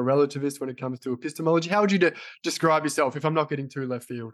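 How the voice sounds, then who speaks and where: In an Australian accent, the speaker's pitch shifts by an ordinary amount on a very clean recording with a silent background. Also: man. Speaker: physiotherapy podcast host. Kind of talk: casual interview conversation.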